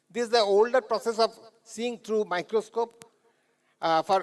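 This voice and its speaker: This is a man speaking. His intonation is fairly even. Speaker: conference speaker on homeopathic pharmacy. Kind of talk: lecture. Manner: fast; halting, with false starts.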